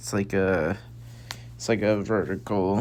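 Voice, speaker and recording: Someone soft-spoken mumbles their words. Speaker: gaming video creator. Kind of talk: casual game tour commentary. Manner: mumbling.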